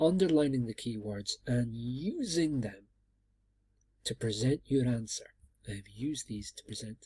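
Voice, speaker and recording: Somewhat breathy, a man of medium pitch uses lively intonation in a dark, mellow tone. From Scotland. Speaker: university lecturer. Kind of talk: lecture. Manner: hesitant, many fillers.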